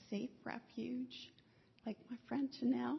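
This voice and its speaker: The speech moves at a very slow pace, marked by vocal fry. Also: woman. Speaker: widow giving testimony. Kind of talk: testimony.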